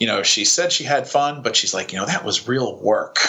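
A man with an American accent speaks at a moderate pace against noticeable background noise. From New York, Long Island. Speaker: fishing guide and Spanish teacher. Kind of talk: casual chat.

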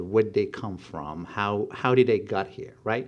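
Delivered at a moderate tempo, this is a plain, everyday voice. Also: man, quiet background. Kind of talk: casual chat.

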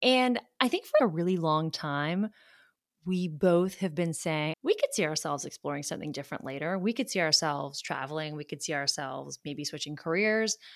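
In an ordinary speaking voice, a woman with an American accent talks at a fairly quick pace and fairly low pitch, her intonation lively, on a very clean recording with a silent background and a dry, close sound with no echo. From US South, Charleston, South Carolina. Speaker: podcast host, lawyer. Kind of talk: casual conversation.

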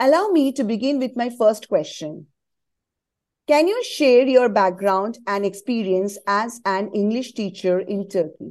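With an ordinary speaking voice, a woman talks at a fairly slow pace, her pitch fairly high and her intonation lively. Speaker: podcast host. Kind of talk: scripted intro then interview questions.

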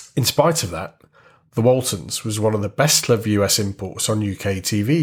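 A man with a northern English accent talks with fairly low pitch, lively intonation and a somewhat breathy sound. The recording is very clean, with a silent background. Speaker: podcast host. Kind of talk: scripted narration.

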